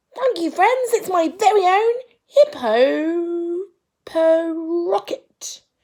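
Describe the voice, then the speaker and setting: In a put-on character voice, a woman squeaks at a very slow pace, her pitch extremely high with very wide swings. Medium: read story. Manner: enthusiastic.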